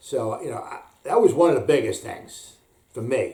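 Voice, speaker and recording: Moderate pace with audible room echo. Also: man. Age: 50s. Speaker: fitness vlogger. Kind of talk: casual vlog monologue. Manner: halting, many fillers and restarts.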